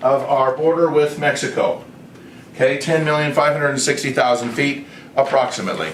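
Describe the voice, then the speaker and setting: Recorded with audible room echo and noticeable background noise, a man with an American accent speaks at a fairly high pitch with fairly even intonation. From United States. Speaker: online video creator pitching a proposal. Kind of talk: explanatory presentation. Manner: casual, halting with self-corrections.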